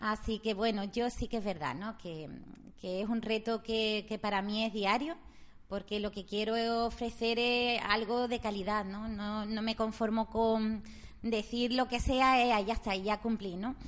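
A woman with an unremarkable speaking voice talks at a fairly slow pace. Her pitch is fairly high and her intonation fairly even. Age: 40s. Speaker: radio co-host, shop worker. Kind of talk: casual chat.

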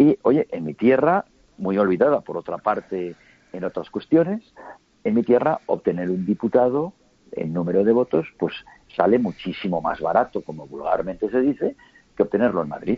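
Vocal fry runs through a man's medium-pitched voice. He moves at a moderate pace with very wide pitch swings. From Spain, Huesca (Aragon). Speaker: businessman and political analyst. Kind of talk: interview. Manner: measured, calm.

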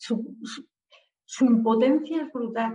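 A woman speaks with a fairly high pitch and ordinary pitch variation. It is an unremarkable speaking voice. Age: 40s. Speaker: author and civil servant. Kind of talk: interview.

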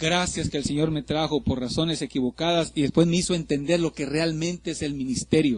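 Speaking at a moderate pace, a man uses an animated tone with a fairly high pitch. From Mexico, Ciudad Madero, Tamaulipas. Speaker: pastor. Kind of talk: sermon. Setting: church.

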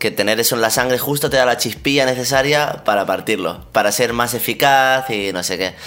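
A man's bright, sharp voice at medium pitch moves at a fairly quick pace with hardly any pauses and ordinary pitch variation. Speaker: podcast co-host. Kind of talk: casual chat.

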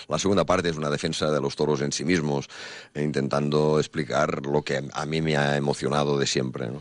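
A man speaks fairly quickly at a very deep, low pitch with monotone, flat intonation. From Catalonia, Spain (Banyoles, Girona). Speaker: bullfighter's manager and musician, author. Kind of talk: radio interview. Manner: halting, many fillers.

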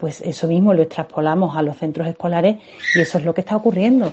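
A woman's fairly low-pitched voice at a very fast pace. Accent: Andalusian. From Spain, Seville. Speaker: mother of a child with diabetes. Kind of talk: testimony.

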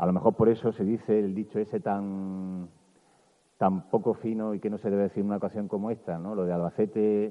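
His words come fairly quickly. The man's voice is fairly low. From Andalusia, Bailén (Jaén). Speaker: journalist giving a festival proclamation speech. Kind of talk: public proclamation speech. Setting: outdoor town square stage with audience. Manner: animated.

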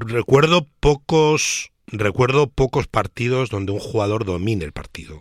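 A man with a normal speaking voice and medium pitch talks with lively intonation and hardly any pauses, in a dry, close sound with no echo. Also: fairly slow pace. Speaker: basketball pundit. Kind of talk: casual chat.

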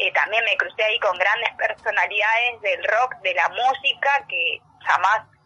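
Noticeable background noise runs through the clip. A woman talks fairly slowly. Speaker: sports journalist and taekwondo athlete. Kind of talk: radio interview.

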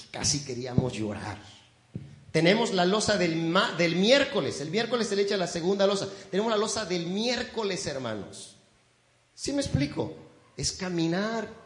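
Through noticeable background noise, a man speaks in a high pitch at a moderate pace, his pitch swinging very widely. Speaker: pastor. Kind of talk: sermon. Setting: church. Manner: warm, folksy and conversational, pausing and repeating words; earnest, exhorting the congregation.

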